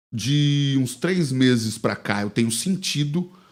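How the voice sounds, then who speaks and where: A man's medium-pitched voice has ordinary pitch variation. The recording is very clean, with a silent background. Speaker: pastor, podcast guest. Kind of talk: casual interview, personal testimony. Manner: fast.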